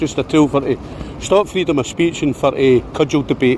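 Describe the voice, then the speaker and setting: A speaker with a Scottish accent talks at a fairly quick pace with ordinary pitch variation. Noticeable background noise runs beneath the voice. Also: man. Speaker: street activist filming debates. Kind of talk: heated debate. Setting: outdoors.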